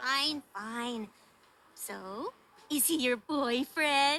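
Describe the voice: A woman puts on a character voice, high-pitched with a bright, sharp tone. Her intonation is lively, and she speaks at a very slow pace.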